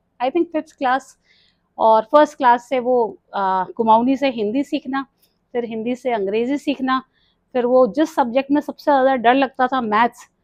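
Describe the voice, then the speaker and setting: With a Kumaon accent, a woman speaks at a high pitch. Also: ordinary pitch variation. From Delhi, India (Kumaoni family from Uttarakhand). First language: Kumaoni (speaking Hindi). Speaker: retired nurse, yoga and mindfulness coach. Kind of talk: podcast interview.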